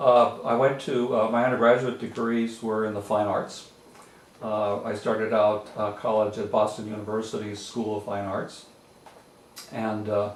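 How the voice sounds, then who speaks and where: A man with a New England accent speaks at a moderate pace and a fairly low pitch in a monotone, flat way, with audible room echo and noticeable background noise. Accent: New England American. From western Massachusetts, French Canadian community. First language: French. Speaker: retired law library association executive, painter. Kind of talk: oral history interview. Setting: home art studio. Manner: hesitant, many fillers.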